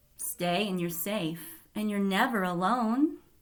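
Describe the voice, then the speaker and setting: A woman uses a put-on character voice at medium pitch. Her intonation is lively and her pace fairly slow. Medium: read story.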